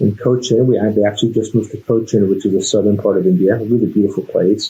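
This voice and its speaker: With an American accent, a man speaks in a dark, mellow, somewhat breathy tone and ordinary pitch variation. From Toronto, Canada. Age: 40s. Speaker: business owner. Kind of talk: interview.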